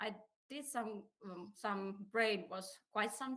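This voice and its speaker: A woman speaks with a Finnish accent at a fairly high pitch. Her tone is bright and sharp, and her pitch varies in an ordinary way. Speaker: career advisor. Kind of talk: presentation.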